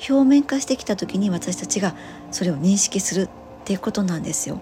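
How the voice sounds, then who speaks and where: Over noticeable background noise, a woman with a medium-pitched voice talks at a fairly quick pace, her pitch swinging very widely. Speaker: spiritual healer and nurse. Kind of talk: solo podcast monologue. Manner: soft-spoken; rambling with many fillers.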